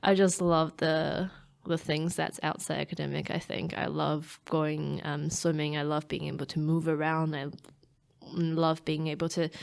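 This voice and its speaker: A woman's very deep, low voice with a Taiwanese accent, monotone, flat intonation and a moderate pace, on a very clean recording over a silent background. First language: Mandarin Chinese. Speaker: startup chief scientist and PhD researcher. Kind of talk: interview. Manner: halting, many fillers and restarts.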